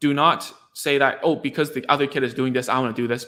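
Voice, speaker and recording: With a bright, sharp tone and fairly even intonation, a man speaks at a medium pitch on a very clean recording with a silent background. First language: Cantonese. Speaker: speech therapist. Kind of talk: live stream talk to parents. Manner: halting, many repeated words.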